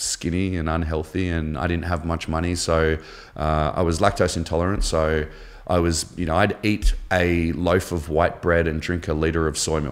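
In an Australian accent, a man with a very deep, low pitch speaks at a moderate pace in a monotone, flat intonation. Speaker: former navy diver and shark attack survivor. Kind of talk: casual interview.

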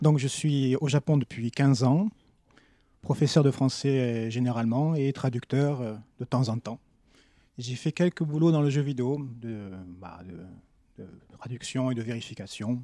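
A man with a dark, mellow tone speaks at a very slow pace in a very clean recording with a silent background and a dry, close sound with no echo. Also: medium pitch for a man, ordinary pitch variation, big swings in loudness. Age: 40s. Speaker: French teacher and translator. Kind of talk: casual chat.

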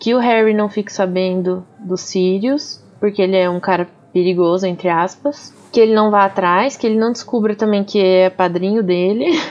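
A woman speaks in an ordinary speaking voice at a medium pitch, a moderate pace and ordinary pitch variation, with hardly any pauses. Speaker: podcast co-host. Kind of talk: casual chat.

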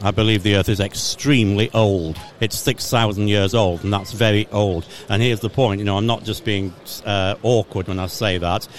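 The voice speaks in an English accent at a moderate pace. Its intonation is fairly even, with noticeable background noise. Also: man, fairly low pitch for a man. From England. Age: 50s. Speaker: creation ministry speaker. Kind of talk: casual interview. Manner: halting.

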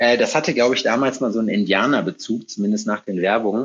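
This is a man with a plain, everyday voice. The recording is very clean, with a silent background. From North Rhine-Westphalia, between Hagen and Lüdenscheid. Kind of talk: casual chat.

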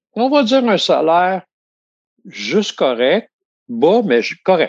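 In a Quebec accent, a man talks at a very slow pace with very wide pitch swings, the sound dry and close with no echo. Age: 60s. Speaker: retiree. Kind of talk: casual chat.

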